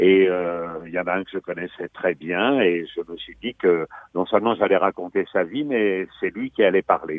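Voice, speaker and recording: A man with a very deep, low pitch speaks at a fairly slow pace with ordinary pitch variation. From Normandy, Pays de Caux (Valmont, near Fécamp). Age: 70s. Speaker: author. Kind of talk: interview. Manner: halting.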